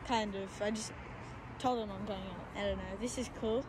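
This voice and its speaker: A woman's voice comes through a dry sound with no echo. Noticeable background noise sits behind it. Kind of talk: casual vlog commentary. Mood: excited, awed. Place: open country. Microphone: phone near.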